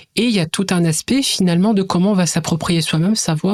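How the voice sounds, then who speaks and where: A woman speaks at a fairly quick pace in a fairly low pitch with ordinary pitch variation, the sound dry and close with no echo. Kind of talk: educational podcast interview. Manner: hesitant, with fillers.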